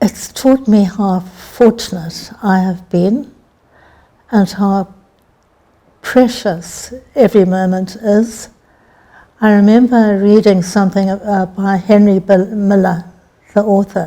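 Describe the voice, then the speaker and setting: Somewhat breathy and dark, mellow in tone, a woman at medium pitch speaks at a very slow pace with fairly even intonation and long, frequent pauses. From Zimbabwe. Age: 70s. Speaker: author. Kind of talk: interview.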